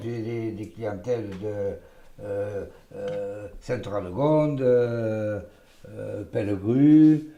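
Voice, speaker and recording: Amid noticeable background noise and audible room echo, the speaker talks at a very slow pace with lively intonation. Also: man. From Gironde, southwest France. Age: 60s. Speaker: village hairdresser. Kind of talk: casual interview talk. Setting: in his hair salon while cutting hair. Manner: halting, many hesitations.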